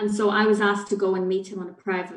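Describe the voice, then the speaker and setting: This is a woman speaking. She has a Northern Irish accent. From Northern Ireland. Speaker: children's charity head. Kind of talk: panel discussion.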